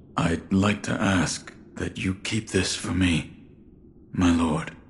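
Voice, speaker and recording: A man does a put-on character voice at a very deep, low pitch with a raspy edge. He talks at a fairly slow pace in a monotone, flat intonation. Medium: video game. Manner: terse, reserved.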